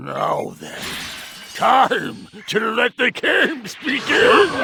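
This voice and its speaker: A man performs a cartoonish character voice. He speaks at a very slow pace. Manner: smug, taunting.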